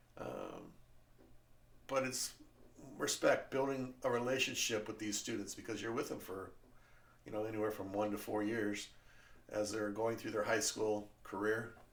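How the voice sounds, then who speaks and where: Amid audible room echo, a man with an American accent talks at a moderate pace and fairly low pitch, his intonation fairly even, with long, frequent pauses. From California. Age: 60s. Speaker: podcast host, former teacher. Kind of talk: casual monologue. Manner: hesitant, many fillers.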